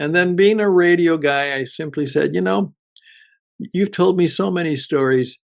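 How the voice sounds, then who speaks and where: A man speaks at a moderate pace in a normal speaking voice, his fairly high pitch carried by lively intonation. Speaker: radio broadcaster and podcast producer. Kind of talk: podcast introduction / radio-style promo.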